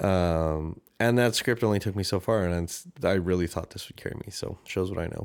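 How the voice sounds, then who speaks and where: In a very clean recording with a silent background, a man with a Canadian accent talks at a fairly quick pace with hardly any pauses, his very deep, low voice keeping fairly even intonation. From Canada. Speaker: podcast host. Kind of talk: solo podcast monologue, personal reflection. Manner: casual, self-deprecating, conversational.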